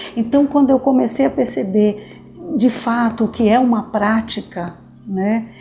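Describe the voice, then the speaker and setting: Over noticeable background noise, a woman with fairly high pitch speaks at a fairly slow pace. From Brazil, Pará (born in Maranhão). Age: 60s. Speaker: activist in women's housing movement, school worker. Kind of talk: documentary interview.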